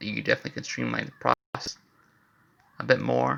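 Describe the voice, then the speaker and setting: A quiet man speaking at a fairly quick pace. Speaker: amateur inventor vlogger. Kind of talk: casual commentary walkthrough. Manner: talking quietly.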